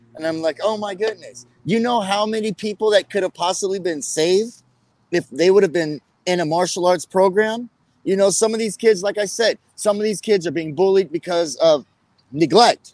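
A high-pitched man at a moderate pace with ordinary pitch variation. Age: 40s. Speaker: martial arts champion and gym owner. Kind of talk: interview.

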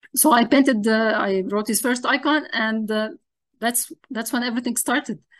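A woman with an Arabic accent speaks at a high pitch with ordinary pitch variation, and the background is quiet. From Lebanon, Zahlé. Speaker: iconographer. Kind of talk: interview.

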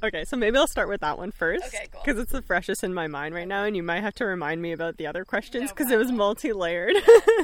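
A woman's medium-pitched voice with a Canadian accent, lively intonation, a very fast pace and hardly any pauses. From Bosnia, raised in Serbia then Canada from age 10. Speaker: astrologer and herbalist. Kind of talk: casual interview chat. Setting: outdoors in a backyard garden.

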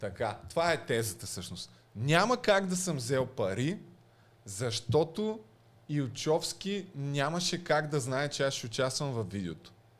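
Very wide pitch swings at a fairly slow pace. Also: man, fairly high pitch for a man. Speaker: podcast host. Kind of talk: casual chat.

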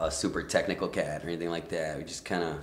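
Very fast speech with audible room echo. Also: man. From Rio Grande Valley, South Texas. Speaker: musician. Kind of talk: casual chat. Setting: studio.

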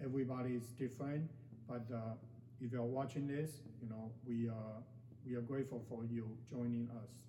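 A man's somewhat breathy voice at medium pitch, monotone and flat in intonation, with long, frequent pauses. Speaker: meditation guide. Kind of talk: guided meditation. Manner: slow, calm, soothing, gently paced with pauses; hesitant, with frequent fillers and repeated words.

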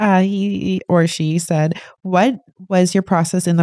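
A woman speaks in a dark, mellow tone at a fairly low pitch, with fairly even intonation and a moderate pace. The recording is very clean, with a silent background. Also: dry, close sound with no echo. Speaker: co-host, beginner trader learning. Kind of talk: casual interview chat. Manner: laughs often.

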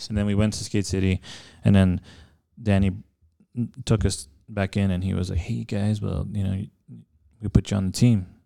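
A man with an American accent has a dark, mellow tone and takes long, frequent pauses. The recording is very clean, with a silent background. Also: fairly low pitch for a man, ordinary pitch variation, moderate pace. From El Paso, Texas. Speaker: podcast co-host, skateboarder and filmmaker. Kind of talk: casual chat.

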